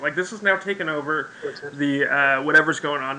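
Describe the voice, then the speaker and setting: Over noticeable background noise, a man speaks with a raised, projected voice. His tone is animated and his pace fairly quick. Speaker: game master of an online role-play game. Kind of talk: game session narration and explanation. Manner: fast, animated.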